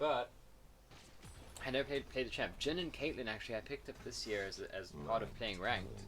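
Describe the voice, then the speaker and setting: Against music in the background, a man with an American accent talks at a fairly quick pace and a medium pitch, with lively intonation and long, frequent pauses. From South Africa. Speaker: gamer streamer. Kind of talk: gameplay commentary. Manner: casual, halting with repeats.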